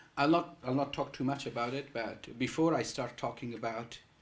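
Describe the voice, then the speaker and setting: Audible room echo accompanies speech delivered at a fairly quick pace. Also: man. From Afghanistan. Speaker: psychology researcher. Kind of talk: public lecture. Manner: halting, many fillers and repeats.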